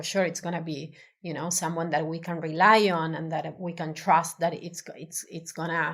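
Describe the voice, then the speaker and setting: A woman with an Argentine accent and a fairly low pitch talks at a moderate pace over a silent background in a very clean recording. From Argentina. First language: Spanish. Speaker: designer. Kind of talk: interview. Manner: halting.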